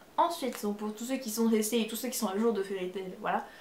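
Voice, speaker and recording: A woman's fairly high voice carries over noticeable background noise. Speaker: manga YouTuber. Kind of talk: casual video review. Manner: hesitant, many fillers.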